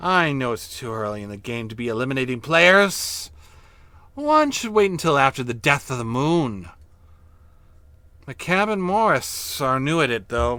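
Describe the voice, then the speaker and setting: Putting on a hissing character voice, a man speaks at a medium pitch and a moderate pace with long, frequent pauses. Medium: read story. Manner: sly, knowing.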